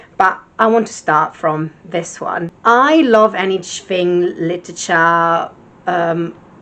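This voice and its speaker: A woman is speaking. She has an Italian accent. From Italy. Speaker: book vlogger. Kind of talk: casual vlog chat.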